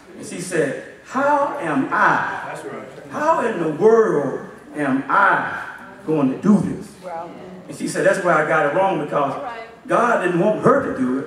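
The speaker goes at a fairly slow pace with long, frequent pauses and big swings in loudness, over light background noise and audible room echo. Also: man. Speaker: assistant pastor. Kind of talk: sermon. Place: church.

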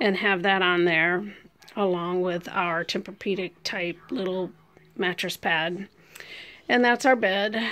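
At a fairly slow pace, a woman speaks with fairly even intonation. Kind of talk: casual home tour narration. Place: home room. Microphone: phone near.

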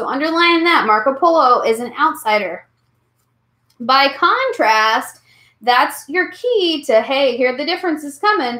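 A woman projects a raised, high-pitched voice with a bright, sharp tone and lively intonation, at a fairly slow pace. The background is quiet, though audible room echo fills the space. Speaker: history teacher. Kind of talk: online class review lecture. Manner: animated. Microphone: webcam.

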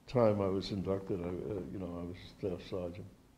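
Against light background noise, a man speaks in a dark, mellow tone. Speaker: World War II veteran. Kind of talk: oral history interview, an elderly veteran recalling wartime memories. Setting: interview at a veterans' reunion. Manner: halting, with frequent repeated words and false starts; reminiscent and precise about dates, with occasional chuckles. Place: hall. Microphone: handheld.

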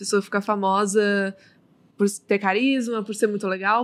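This is an unremarkable speaking voice from a woman. Her pitch is fairly high and her pace moderate. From Brazil. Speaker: streamer and influencer; streamer, influencer. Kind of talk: casual interview chat. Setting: studio. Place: studio. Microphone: studio mic.

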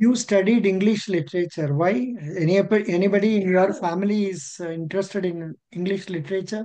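Against a quiet background, a man with an Indian accent speaks fairly quickly in a high pitch with fairly even intonation. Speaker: interview coach. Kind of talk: mock job interview. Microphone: video call.

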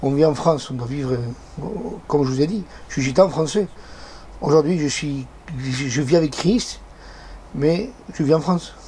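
This man talks with ordinary pitch variation and leaves long, frequent pauses. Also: fairly high pitch for a man, moderate pace, slightly mellow tone.

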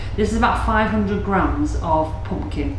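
A woman is speaking with audible room echo. Loud background noise fills the recording. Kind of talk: cooking tutorial. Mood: chatty and relaxed. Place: kitchen. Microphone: camera far.

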